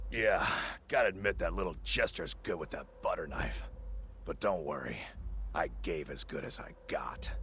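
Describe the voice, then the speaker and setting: Against clear background noise, a man does a raspy, put-on character voice at a moderate pace, with long, frequent pauses. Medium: video game. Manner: gruff, laconic.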